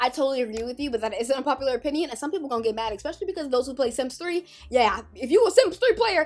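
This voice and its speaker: A woman with a high pitch talks very fast in an animated tone, with lively intonation and hardly any pauses. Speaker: Sims YouTuber. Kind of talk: casual vlog commentary.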